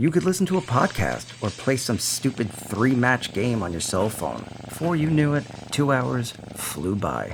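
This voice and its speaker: A man at medium pitch with very wide pitch swings, a moderate pace, and music in the background. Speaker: voiceover narrator, indie animator. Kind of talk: first-person horror story narration.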